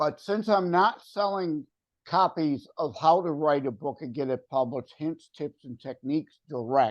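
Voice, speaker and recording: A plain, everyday voice from a man, fairly high in pitch, with lively intonation at a moderate pace against a quiet background. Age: 60s. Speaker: author. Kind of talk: interview.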